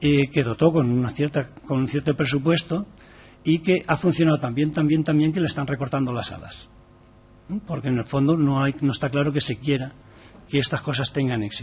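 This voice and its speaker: Somewhat breathy, a man talks at a fairly quick pace in a fairly high pitch. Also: fairly even intonation. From Valencia, Spain. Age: 60s. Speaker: activist speaker on gender equality. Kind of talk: formal presentation to a parliamentary committee. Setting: parliamentary committee room.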